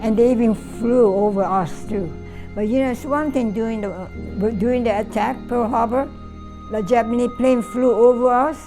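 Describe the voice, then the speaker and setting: With music playing in the background, a woman talks at a moderate pace in a fairly high voice with fairly even intonation. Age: 80s+. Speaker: Pearl Harbor attack witness. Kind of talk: interview answer.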